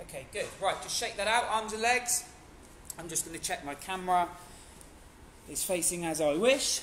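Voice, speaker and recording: A man's high-pitched, energetic voice with lively intonation, big swings in loudness, a moderate pace and long, frequent pauses, plus audible room echo and light background noise. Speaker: fitness instructor. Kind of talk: live online HIIT class instruction, counting reps aloud. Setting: video call. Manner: energetic, encouraging coach calling out counts; casual, chatty and upbeat. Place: gym. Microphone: camera far.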